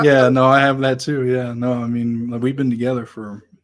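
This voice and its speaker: Flat and monotone, a man with an American accent speaks at a medium pitch and a moderate pace. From Nebraska. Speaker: podcast host. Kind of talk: casual chat.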